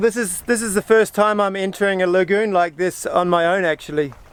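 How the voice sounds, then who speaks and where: Amid noticeable background noise, a man talks fairly quickly in a high voice. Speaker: solo sailor. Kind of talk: casual vlog talk to camera. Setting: outdoors. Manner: upbeat, relaxed.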